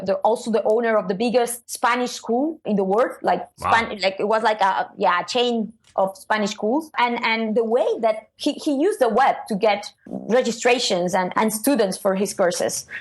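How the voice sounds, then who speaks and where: A woman with a non-native accent and fairly high pitch speaks at a moderate pace, hardly pausing, with ordinary pitch variation. Her loudness stays very even, with music in the background. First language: not English. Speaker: SEO consultant. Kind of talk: interview answer. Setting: online call.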